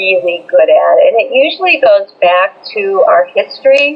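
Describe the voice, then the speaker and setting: Background noise is noticeable throughout. Through it, a woman talks. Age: 60s. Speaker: business coach. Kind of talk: interview.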